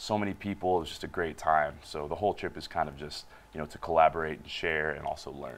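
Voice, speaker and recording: Talking at a very fast pace, a man with a very deep, low pitch keeps his intonation fairly even while his loudness swings widely. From United States. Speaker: touring band musician; guest. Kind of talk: interview. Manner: hesitant, filler-heavy. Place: studio. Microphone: lapel.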